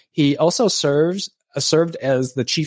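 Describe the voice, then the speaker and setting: In a normal speaking voice with lively intonation, the speech comes at a fairly slow pace, dry and close with no echo, on a very clean recording with a silent background. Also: man. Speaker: podcast host. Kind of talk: interview conversation.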